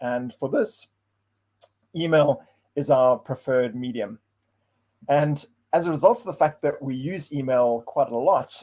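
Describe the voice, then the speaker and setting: This man speaks at a fairly slow pace in a fairly high pitch, with a dark, mellow tone and ordinary pitch variation. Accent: South African. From South Africa. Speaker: data science consultant, meetup presenter. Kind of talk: tech talk presentation. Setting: online livestream. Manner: hesitant, with fillers and repeated words.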